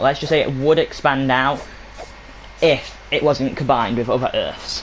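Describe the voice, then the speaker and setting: Through noticeable background noise, a man mumbles at a fairly quick pace with ordinary pitch variation. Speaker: gaming youtuber. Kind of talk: game map showcase walkthrough. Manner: mumbling.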